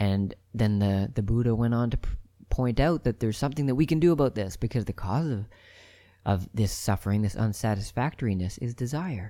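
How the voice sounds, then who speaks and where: A man's dark, mellow voice, medium in pitch, at a fairly quick pace with ordinary pitch variation. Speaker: podcast host, spiritual speaker. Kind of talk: solo monologue talk. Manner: fast, rambling.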